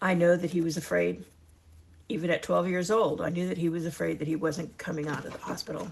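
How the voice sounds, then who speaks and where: The voice is warm in tone, with vocal fry. It moves at a very fast pace with fairly even intonation. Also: woman, fairly low pitch for a woman. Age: 60s. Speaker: retirement lifestyle vlogger. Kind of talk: casual chat to camera. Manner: conversational, warm; some halting restarts.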